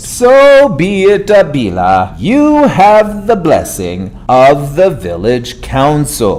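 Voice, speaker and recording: A put-on character voice at a very slow pace, with hardly any pauses and very even loudness. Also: man, fairly high pitch for a man. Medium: read story. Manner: formal, solemn.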